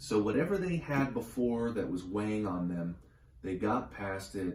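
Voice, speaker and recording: A man with a fairly low, dark, mellow and somewhat breathy voice speaks at a moderate pace with ordinary pitch variation. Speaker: tarot reader. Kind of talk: tarot reading.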